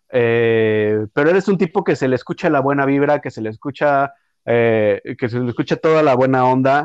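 In a dry, close sound with no echo and a quiet background, a man with a normal speaking voice talks at a moderate pace, at medium pitch and with ordinary pitch variation. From Mexico City. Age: 30s. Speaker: podcast host. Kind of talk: interview conversation.

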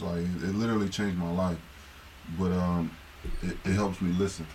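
This man's voice is very deep and low. He speaks with monotone, flat intonation. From Akron, Ohio. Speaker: former basketball player. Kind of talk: casual chat.

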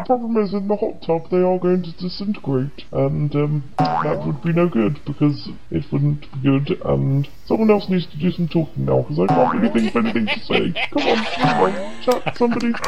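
A put-on character voice at a middle pitch runs at a moderate pace with hardly any pauses, over loud background noise and sound effects in the background. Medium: fan dub. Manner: gloating, self-satisfied.

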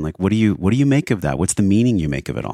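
Lively intonation from a man at a fairly low pitch, in a very clean recording with a silent background. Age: 40s. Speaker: wellness podcast host and breathwork coach. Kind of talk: casual interview conversation; scripted intro and ad read. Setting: studio.

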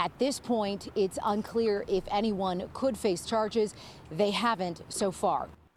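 A woman's unremarkable speaking voice, medium in pitch, with ordinary pitch variation and a moderate pace. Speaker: TV news field reporter. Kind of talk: polished TV news field report, replayed clip. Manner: crisp, formal, steady and authoritative.

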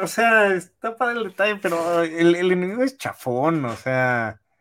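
A man speaks at a fairly slow pace. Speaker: podcast co-host. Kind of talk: casual chat.

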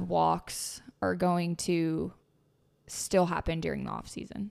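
A woman's fairly low voice, recorded very cleanly against a silent background. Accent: Southern US. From Tennessee. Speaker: podcast host. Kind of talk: casual chat.

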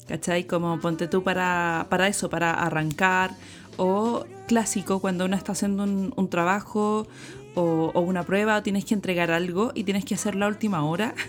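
A woman speaks with a Chilean accent at a medium pitch and a moderate pace. Her loudness stays very even, with ordinary pitch variation. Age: 30s. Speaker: sex educator and visual artist. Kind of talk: interview. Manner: casual, with many fillers.

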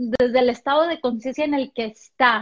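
A woman with a Mexican accent speaks at a high pitch with ordinary pitch variation. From Mexico, Puerto Vallarta. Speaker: motivational speaker. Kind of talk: interview.

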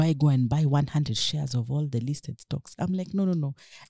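Very fast and somewhat breathy, a woman speaks with a very deep, low pitch and a dark, mellow tone. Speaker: equities trader. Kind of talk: interview.

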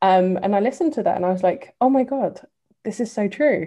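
A dark, mellow tone with an English accent, ordinary pitch variation and a moderate pace, over a quiet background. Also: woman. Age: 30s. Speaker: diversity and inclusion advocate. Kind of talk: casual chat.

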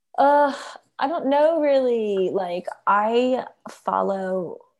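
A woman is speaking. She talks with a Philadelphia accent. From Philadelphia, US. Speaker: content marketing executive. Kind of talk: casual interview.

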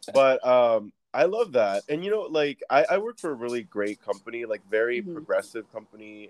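An ordinary speaking voice moves at a moderate pace with lively intonation. The sound is dry and close, with no echo. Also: man. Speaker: podcast host. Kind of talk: casual chat. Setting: remote call.

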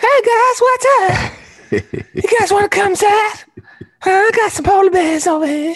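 A squeaky, put-on character voice at an extremely high pitch moves at a fairly slow pace. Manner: creepy.

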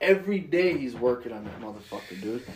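Someone with an American accent speaks at a moderate pace. Noticeable background noise and audible room echo fill the recording. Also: man. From western New York, Jamestown. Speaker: podcast host. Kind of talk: casual chat.

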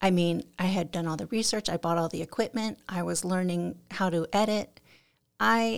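A woman's fairly low voice at a moderate pace, ordinary pitch variation, very clean recording with a silent background. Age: 50s. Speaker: photographer and artist. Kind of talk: casual interview chat. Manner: soft-spoken.

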